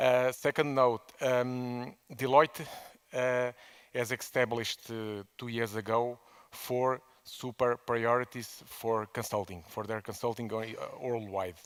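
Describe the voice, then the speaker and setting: A man with a non-native accent at a medium pitch and a very slow pace. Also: fairly even intonation. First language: Portuguese. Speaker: management consultant. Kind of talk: conference talk. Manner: halting, many fillers and repetitions.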